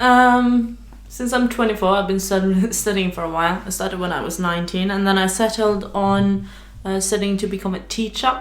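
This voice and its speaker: Speaking with a Norwegian accent, a woman at medium pitch keeps a moderate pace and fairly even intonation amid audible room echo. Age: 20s. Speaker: podcast co-host, university student. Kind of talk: casual chat.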